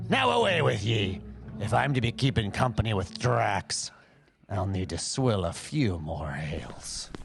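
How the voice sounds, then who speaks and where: A put-on character voice, raspy in texture. It moves at a moderate pace. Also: man, fairly low pitch for a man. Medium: audio drama. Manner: gruff, blustering.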